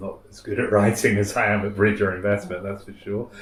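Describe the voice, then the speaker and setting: A man's fairly low voice in a southern English accent, at a fairly quick pace, with audible room echo. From Wales, then London from age seven. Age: 60s. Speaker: fund manager and bridge player. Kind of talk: interview. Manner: halting, repeats words.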